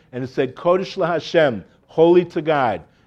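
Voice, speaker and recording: An animated, fairly high-pitched man with a South Florida accent and ordinary pitch variation, against a quiet background. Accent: American (South Florida). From US, Miami Beach, Florida. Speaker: religious lecturer and craftsman. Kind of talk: lecture to a live audience. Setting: venue with live audience.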